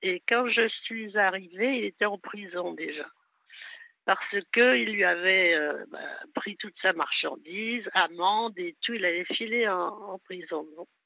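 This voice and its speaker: A woman speaks at a very slow pace in a medium pitch with ordinary pitch variation. Her loudness swings widely. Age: 80s+. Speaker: caller. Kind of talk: phone-in confession. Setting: phone call.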